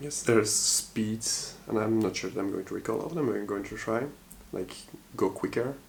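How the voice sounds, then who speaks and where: Fairly quick speech in a Dutch accent, with ordinary pitch variation and long, frequent pauses. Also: man, medium pitch for a man. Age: 30s. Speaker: vlogger. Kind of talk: personal vlog monologue. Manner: halting, hesitant with many fillers.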